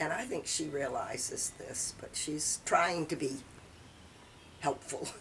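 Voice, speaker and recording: Noticeable background noise surrounds a woman's speech. She talks at a very slow pace, with long, frequent pauses. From southern Maine, USA. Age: 80s+. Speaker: retired librarian. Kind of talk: interview answer.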